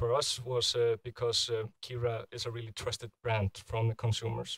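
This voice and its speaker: A man with an Icelandic accent speaks in a somewhat breathy voice, the sound dry with no echo against a quiet background. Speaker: product manager; presenter. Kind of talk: conference talk. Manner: halting. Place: hall.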